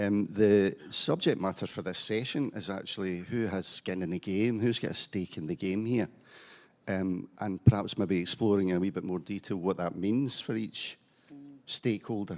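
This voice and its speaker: A man with a fairly low pitch speaks at a moderate pace with ordinary pitch variation, on a very clean recording with a silent background. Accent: Scottish. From Scotland, Glasgow. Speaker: panel moderator, cancer charity chief executive, nurse. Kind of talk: conference panel moderation. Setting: conference hall with audience. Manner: hesitant, many fillers.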